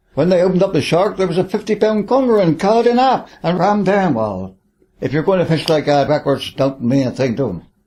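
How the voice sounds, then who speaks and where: Talking at a fairly quick pace, a man with a high pitch and a dark, mellow tone makes very wide pitch swings. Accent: Cornish. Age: 80s+. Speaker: retired charter fishing skipper. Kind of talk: interview reminiscence. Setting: home lounge. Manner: halting with repeated words.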